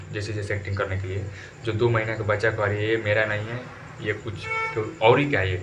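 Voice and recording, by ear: A man's fairly low voice with little pitch movement and audible room echo.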